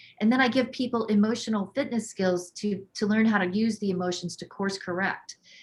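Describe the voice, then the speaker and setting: A woman with a fairly high pitch and ordinary pitch variation has a normal speaking voice. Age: 50s. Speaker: equine-assisted learning teacher and course author. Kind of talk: webinar Q&A answer.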